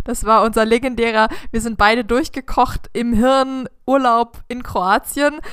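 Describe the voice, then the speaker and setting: A woman speaks fairly slowly at a high pitch. Her intonation stays fairly even. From southern Germany, village. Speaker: podcast host. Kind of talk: casual chat.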